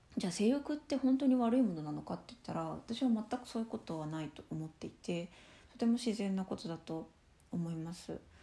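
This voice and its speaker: Her medium-pitched, somewhat breathy voice has a dark, mellow tone, moving at a fairly quick pace with very wide pitch swings and big swings in loudness. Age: 20s. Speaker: solo podcaster on sex education. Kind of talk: casual monologue.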